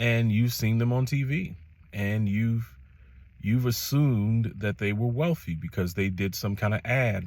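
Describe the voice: With an American accent, a man talks at a moderate pace in a slightly mellow tone, his pitch varying in an ordinary way.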